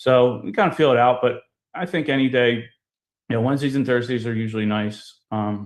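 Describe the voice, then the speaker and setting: Speaking at a fairly quick pace, a man with a Philadelphia accent uses ordinary pitch variation. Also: medium pitch for a man. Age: 40s. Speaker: loan officer and podcast host. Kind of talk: casual interview. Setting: live video show. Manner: animated.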